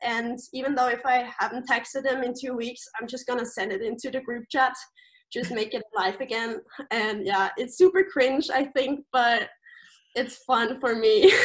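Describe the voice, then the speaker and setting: With a German accent, a woman talks at a moderate pace in a high pitch with ordinary pitch variation. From Austria. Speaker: camp staff member. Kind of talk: casual interview.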